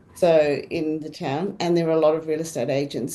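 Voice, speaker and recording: A woman with a South African accent speaks in a dark, mellow tone. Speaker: real estate agent. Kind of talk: panel discussion.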